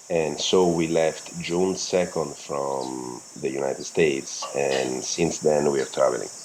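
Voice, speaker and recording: A man with a very deep, low pitch and a non-native accent speaks fairly slowly, with hardly any pauses and fairly even intonation. The room echo is audible, and background noise is noticeable. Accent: foreign accent in English. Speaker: world-travelling parent, physical therapist. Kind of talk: casual interview chat. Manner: halting.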